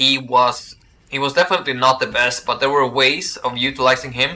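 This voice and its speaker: A man with a Swedish accent speaks at a moderate pace in a medium pitch, with noticeable background noise. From Sweden. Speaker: gaming streamer. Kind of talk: live stream chat with viewers. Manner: halting, many fillers.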